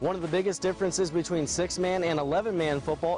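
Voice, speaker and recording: An energetic, upbeat man with a high voice at a very fast pace, with music in the background. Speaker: sports anchor and reporter. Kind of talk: sports news anchor read.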